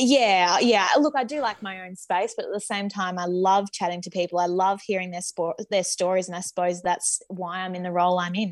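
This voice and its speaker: Using a normal speaking voice, a woman at a medium pitch talks at a fairly quick pace with hardly any pauses and ordinary pitch variation on a very clean recording with a silent background. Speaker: co-host.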